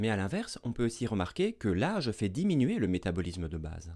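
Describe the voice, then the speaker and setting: A man speaks at a fairly quick pace with a fairly low pitch. The background is quiet. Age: 30s. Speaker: medical doctor and science educator; science educator. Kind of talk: educational video lecture. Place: studio. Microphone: studio mic.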